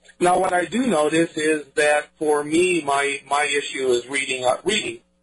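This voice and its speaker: There is music in the background. The man talking has an American accent. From US Midwest, Iowa. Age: 60s. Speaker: firearms instructor. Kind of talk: interview.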